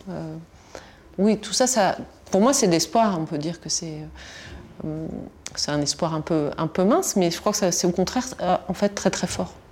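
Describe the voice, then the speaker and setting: Fairly slow and fairly low-pitched, a woman speaks with ordinary pitch variation. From Tunisia. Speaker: historian. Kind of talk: interview. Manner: halting, many repetitions and fillers.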